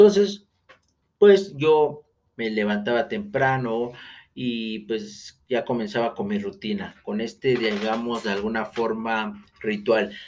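This man speaks at a very slow pace with lively intonation. His pitch is medium. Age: 30s. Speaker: podcast host, real estate agent. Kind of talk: solo podcast monologue. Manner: hesitant, many fillers.

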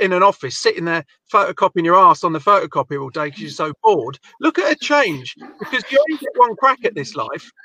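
In a raised, projected voice with an English accent, a man talks at a very fast pace and high pitch, the sound dry and close with no echo. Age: 40s. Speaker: podcast host. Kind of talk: casual chat.

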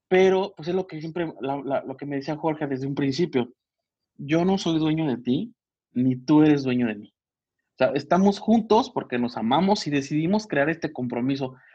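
A man's fairly high voice with a dark, mellow tone, lively intonation and a moderate pace. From Mexico, Michoacán. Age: 30s. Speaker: physician. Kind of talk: casual interview chat. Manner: halting, many fillers.

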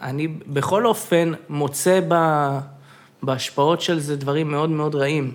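An ordinary speaking voice moves at a fairly slow pace with fairly even intonation. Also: man, fairly high pitch for a man. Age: 20s. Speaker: podcast guest. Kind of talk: casual chat. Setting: studio.

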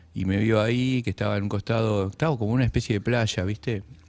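An unremarkable speaking voice, this man talks at a fairly quick pace with ordinary pitch variation and a fairly low pitch, on a very clean recording with a silent background. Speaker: writer and poet. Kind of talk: casual interview.

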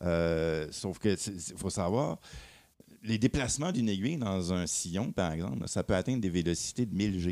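In a very clean recording with a silent background, a man speaks with a dark, mellow tone at a very deep, low pitch. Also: ordinary pitch variation, moderate pace. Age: 50s. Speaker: vinyl audio columnist. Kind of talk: casual chat.

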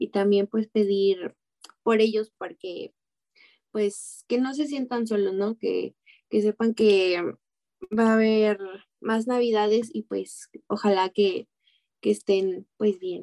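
A woman's fairly high, dark, mellow voice in a Mexican accent, very slow with long, frequent pauses and fairly even intonation, in a dry, close sound with no echo. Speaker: radio show panelist. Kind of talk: casual spiritual radio talk.

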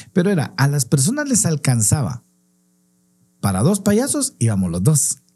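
The tone is dark and mellow, with a somewhat breathy quality. The pace is moderate. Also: man. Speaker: clown and podcast co-host. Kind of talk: casual chat.

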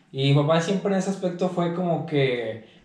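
Noticeable background noise and audible room echo surround a man talking with ordinary pitch variation. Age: 20s. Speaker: football freestyler. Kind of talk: casual interview.

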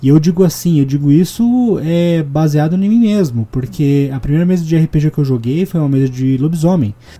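Speaking at a moderate pace with hardly any pauses, a man uses a dark, mellow tone, lively intonation and a fairly high pitch. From Curitiba, southern Brazil. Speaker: podcast host and game master. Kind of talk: casual chat.

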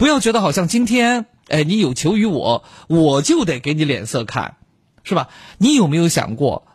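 Over a quiet background, the speaker talks at a moderate pace with very even loudness but very wide pitch swings. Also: man, high pitch for a man. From Chongqing, China. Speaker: late-night radio host. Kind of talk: late-night call-in radio.

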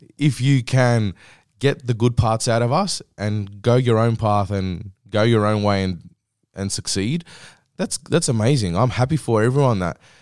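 Recorded very cleanly with a silent background and a dry, close sound with no echo, a man with an Australian accent speaks at a moderate pace with lively intonation. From Western Australia, Greek heritage. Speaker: community radio host. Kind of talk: casual chat. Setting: radio studio.

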